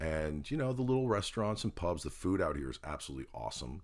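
The speaker is a man. He has an American accent. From New Jersey. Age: 50s. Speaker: podcast co-host. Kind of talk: casual chat. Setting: home spare bedroom recording.

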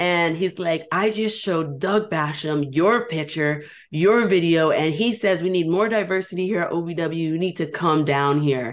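With a New York accent, a woman speaks at a fairly slow pace, her pitch fairly low and her pitch variation ordinary. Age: 20s. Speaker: pro wrestler. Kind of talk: interview.

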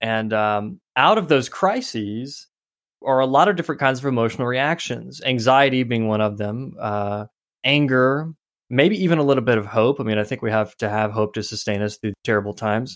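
On a very clean recording with a silent background, a man speaks in an unremarkable speaking voice at medium pitch and a moderate pace, with ordinary pitch variation. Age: 30s. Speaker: author. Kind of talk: casual chat.

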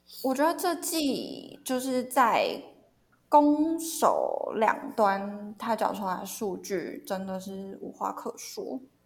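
A woman's high voice, very slow, with very wide pitch swings and big shifts in loudness. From Taiwan, Hsinchu. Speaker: sports media content editor. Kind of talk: casual chat.

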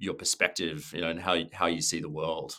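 In an Australian accent, a man talks with a very deep, low pitch and a bright, sharp tone on a very clean recording with a silent background. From Australia, Sydney. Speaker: travel company co-founder, former advertising creative director. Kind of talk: interview.

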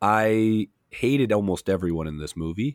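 This man has a fairly low pitch and ordinary pitch variation, captured in a very clean recording with a silent background. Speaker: substitute podcast host. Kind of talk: casual chat. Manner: energetic.

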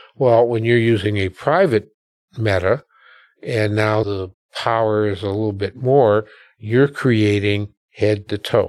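Fairly low in pitch, a man with an American accent talks at a fairly slow pace. He uses a normal speaking voice with fairly even intonation. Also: very clean recording, silent background. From US Midwest, Milwaukee. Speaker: educational technology founder. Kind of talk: interview conversation. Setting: podcast studio.

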